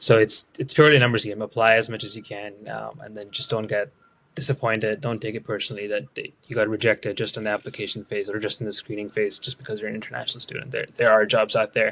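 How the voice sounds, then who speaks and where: Speaking very fast with a non-native accent, a man with a fairly low pitch keeps his intonation fairly even while his loudness swings widely, in a dry, close sound with no echo. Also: hardly any pauses. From India. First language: not English. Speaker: product manager. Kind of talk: interview.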